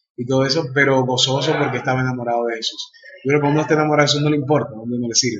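At a very fast speed, a man talks in a medium pitch. His intonation stays fairly even. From Dominican Republic. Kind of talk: interview. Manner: halting, frequent fillers.

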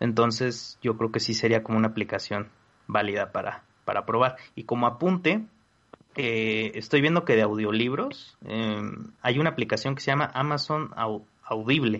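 A man talks in an ordinary speaking voice. His pitch is medium with ordinary variation, and he keeps a moderate pace. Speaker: tech podcast panelist. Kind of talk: casual chat.

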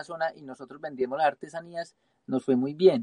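An ordinary speaking voice from a man, fairly high-pitched, with a dry, close sound and no echo. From Colombia, Pereira (coffee region). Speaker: travelling photographer. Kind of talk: live-streamed interview.

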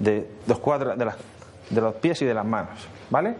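Speaking at a moderate pace with very wide pitch swings, a man is heard with audible room echo. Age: 40s. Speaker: social media consultant. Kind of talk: conference talk.

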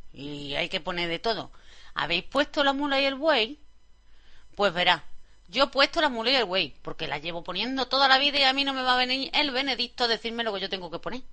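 A woman at a medium pitch talks at a fairly quick pace, her pitch swinging very widely. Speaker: radio host. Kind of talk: radio music show presenting. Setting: studio.

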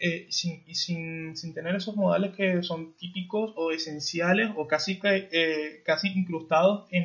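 The speaker is a man. His pitch is high. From Venezuela. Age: 20s. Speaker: podcast host. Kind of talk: interview. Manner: halting, many fillers.

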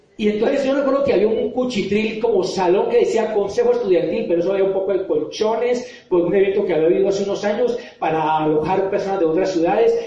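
Talking at a very fast pace with very even loudness, a man uses a high pitch and ordinary pitch variation, amid noticeable background noise and audible room echo. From Colombia, Popayán. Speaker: motivational speaker and author. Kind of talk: motivational talk to an audience.

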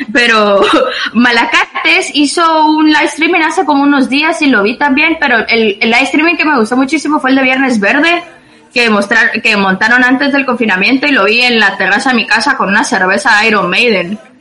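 Noticeable background noise runs behind a woman's raised, projected voice. She speaks at a high pitch and a moderate pace, with lively intonation and very even loudness. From Guatemala. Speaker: guest living abroad. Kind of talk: casual chat.

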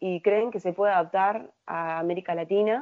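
A woman's unremarkable speaking voice, medium in pitch, at a moderate pace with fairly even intonation. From Uruguay. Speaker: procurement analyst at a tech company. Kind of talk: interview. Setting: remote call from Uruguay.

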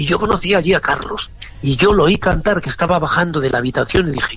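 Background music plays throughout. A man rattles off his words very fast. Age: 60s. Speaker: singer. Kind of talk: interview. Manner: animated.

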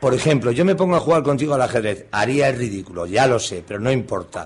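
Very fast, somewhat breathy speech with lively intonation. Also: man. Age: 50s. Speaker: radio host. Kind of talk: casual radio interview. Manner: halting.

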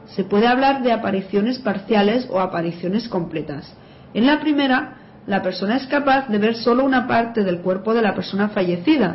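Noticeable background noise behind a woman's fairly high voice, lively in intonation, moderate in pace, and very even in loudness. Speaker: writer and graphologist. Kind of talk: radio interview, explanatory.

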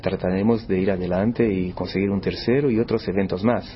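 There is noticeable background noise behind this man. He speaks at a moderate pace with a fairly low pitch. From Brazil, São Paulo. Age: 50s. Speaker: chess tournament organizer. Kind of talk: interview.

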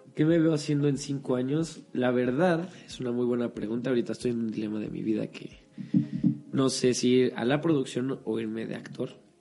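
The speech moves at a moderate pace in a normal speaking voice. Pitch variation is ordinary. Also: man, medium pitch for a man. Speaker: acting student. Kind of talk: casual chat.

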